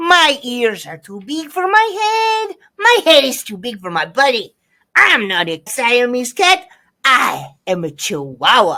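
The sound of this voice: A female-sounding put-on character voice, high in pitch, speaks at a fairly slow pace in a Spanish accent.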